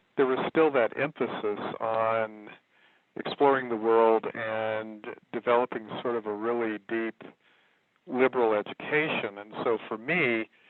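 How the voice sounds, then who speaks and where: Here is a normal speaking voice from a man with an American accent. He talks at medium pitch and a fairly slow pace, with fairly even intonation. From Kentucky, later Texas. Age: 60s. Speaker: herbalist and writer. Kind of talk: interview.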